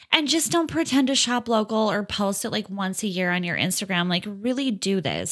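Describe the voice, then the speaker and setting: In a very clean recording with a silent background, a woman with a Minnesota accent talks at a moderate pace in a bright, sharp, animated tone with lively intonation. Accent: Upper Midwest (Minnesota). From rural Minnesota, Fergus Falls. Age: 30s. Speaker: hair salon owner. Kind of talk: casual chat.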